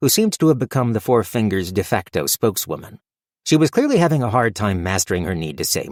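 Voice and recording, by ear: The background stays quiet. Over it, someone is reading aloud in a natural voice.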